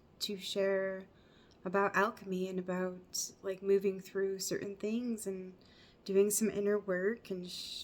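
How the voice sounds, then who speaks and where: A woman speaks here at a medium pitch. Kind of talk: casual personal talk to camera. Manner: rambling, meandering.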